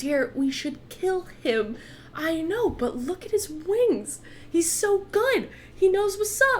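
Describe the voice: A woman's put-on character voice at an extremely high pitch, fairly slow in pace, over clear background noise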